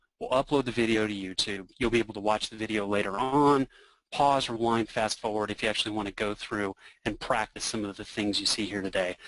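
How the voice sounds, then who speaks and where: A man talks at a fairly quick pace with fairly even intonation, the sound dry and close with no echo over a quiet background. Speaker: software product expert. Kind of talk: software demo presentation. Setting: online webinar. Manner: fast.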